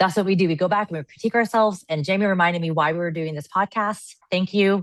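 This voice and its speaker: In a dry, close sound with no echo, a woman talks at a very fast pace with ordinary pitch variation. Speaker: podcast co-host sharing life story. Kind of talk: casual podcast chat. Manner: loud, excitable.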